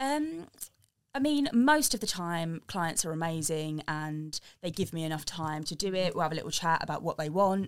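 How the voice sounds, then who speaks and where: In an English accent, a woman with a fairly low pitch speaks at a moderate pace with ordinary pitch variation, on a very clean recording with a silent background. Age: 20s. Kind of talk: casual interview. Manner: hesitant, many fillers.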